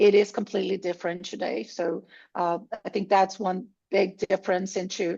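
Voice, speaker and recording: A woman of medium pitch speaks at a fairly slow pace with vocal fry. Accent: Brazilian. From Brazil. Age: 50s. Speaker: tech sales executive. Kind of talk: conference talk.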